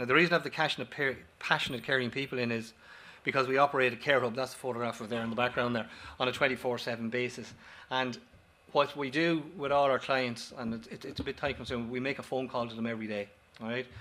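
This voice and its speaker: A man with an Irish accent speaks very fast at a medium pitch, his tone bright and sharp and his intonation fairly even. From Ireland. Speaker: company director, former paramedic. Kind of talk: conference presentation. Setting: auditorium with audience. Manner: halting, with false starts and repetitions.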